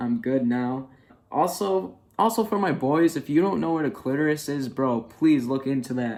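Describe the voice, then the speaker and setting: A man speaks in a normal speaking voice at medium pitch and a moderate pace. His intonation is lively, and the recording is very clean with a silent background. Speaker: vlogger. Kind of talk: casual video diary. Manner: casual, filler-heavy.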